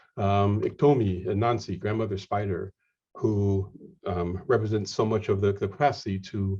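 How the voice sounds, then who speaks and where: A man with a Lakota accent speaks at a fairly slow pace in a fairly low, dark, mellow voice that is somewhat breathy. The background is quiet. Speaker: lecturer and game scholar. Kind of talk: lecture. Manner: halting, many fillers and repetitions.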